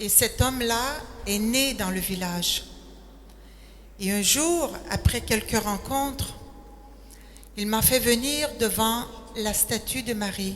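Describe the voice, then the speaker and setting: A woman's fairly high, very slow speech with ordinary pitch variation and long, frequent pauses. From Quebec, Quebec City. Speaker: retired nurse, missionary. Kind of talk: testimony.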